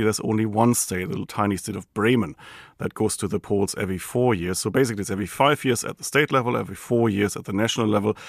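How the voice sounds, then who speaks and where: A man with a German accent speaks at a very fast pace and medium pitch, with ordinary pitch variation. The recording is very clean with a silent background and has a dry, close sound with no echo. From Germany. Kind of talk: interview.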